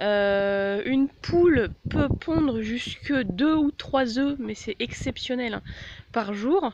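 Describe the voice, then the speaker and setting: A woman talks with ordinary pitch variation while noticeable background noise carries on. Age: 20s. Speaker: animal-care vlogger. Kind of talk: informal tutorial. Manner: hesitant, many fillers.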